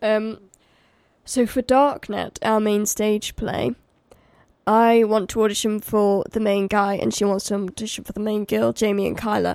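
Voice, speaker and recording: The recording is very clean, with a silent background. A speaker with an English accent talks at a moderate pace in a flat, monotone intonation. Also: woman. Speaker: theatre student and podcast co-host. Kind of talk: casual chat.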